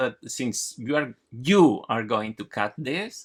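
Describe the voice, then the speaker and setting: With a Spanish accent, a man speaks very slowly, his pitch swinging very widely, in a dry, close recording with no echo. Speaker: comic artist, channel co-host. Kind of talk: film audio commentary, casual chat. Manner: halting.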